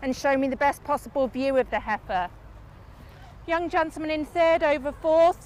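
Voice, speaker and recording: A loud, high-pitched woman with a Lancashire accent, at a fairly quick pace with fairly even intonation. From northern England, Lancashire. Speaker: livestock show judge. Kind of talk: judge's placing reasons to ringside audience. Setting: livestock show ring. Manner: loud, projecting.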